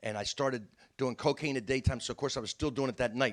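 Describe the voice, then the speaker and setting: Recorded very cleanly against a silent background, a man with a South Jersey accent speaks at medium pitch. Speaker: comedian. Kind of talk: storytelling. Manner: fast.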